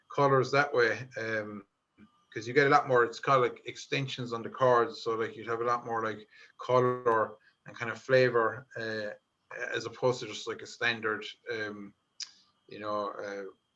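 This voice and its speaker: A man with a Limerick accent speaks at a medium pitch and moderate pace, monotone and flat, with long, frequent pauses. Music plays in the background, and his loudness swings widely. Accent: Irish, Limerick. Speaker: folk musician. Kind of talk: interview. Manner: hesitant, many fillers.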